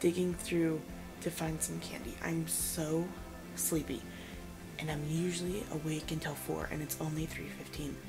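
Music plays behind a woman with a fairly low pitch. She talks at a fairly slow pace. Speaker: book vlogger. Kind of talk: casual vlog chat. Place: home room. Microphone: phone near.

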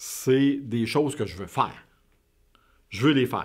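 The speaker has a Quebec accent. The background is quiet. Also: man. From Quebec, suburbs outside Montreal. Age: 50s. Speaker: interviewee. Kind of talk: interview. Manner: halting, many repetitions and fillers. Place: studio.

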